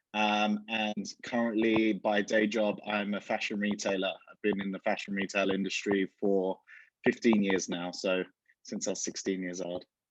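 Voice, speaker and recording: Over a quiet background, the speaker talks with an Essex accent in a monotone, flat intonation. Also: man, fairly low pitch for a man, moderate pace. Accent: southern English (Essex). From Essex, England. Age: 30s. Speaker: fashion retailer. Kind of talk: interview.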